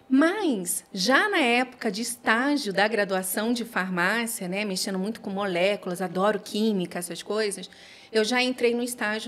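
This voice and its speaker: A woman speaks with a fairly high pitch. There are hardly any pauses. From Rio de Janeiro, Brazil. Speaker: pharmacist. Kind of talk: casual interview.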